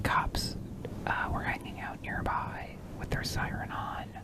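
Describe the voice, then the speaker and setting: The speaker is whispering. Noticeable background noise sits underneath. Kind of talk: ASMR unboxing, casual talk to camera. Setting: home recording with a fluffy microphone. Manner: soft-spoken, casual, rambling.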